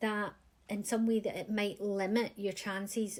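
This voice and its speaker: In a medium-pitched voice, a woman speaks at a moderate pace with monotone, flat intonation. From Scotland, west coast near Glasgow. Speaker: career coach. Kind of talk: advice talk to camera.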